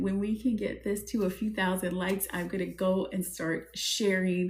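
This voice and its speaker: At a moderate pace, a woman with an American accent speaks in an animated tone. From US South, New Orleans. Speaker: spiritual advisor and business coach. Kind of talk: live stream. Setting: TikTok live stream.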